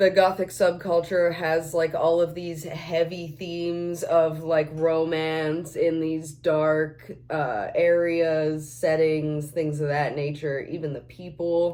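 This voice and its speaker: Noticeable background noise sits under a woman who talks at a very slow pace with hardly any pauses and a monotone, flat intonation. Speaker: makeup vlogger. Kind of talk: casual chat while doing makeup. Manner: rambling, with many fillers.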